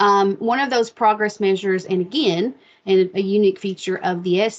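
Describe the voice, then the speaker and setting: A woman speaks with a slight Appalachian accent and fairly even intonation. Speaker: state education specialist. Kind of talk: webinar presentation. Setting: online video meeting. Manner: casual, with many fillers.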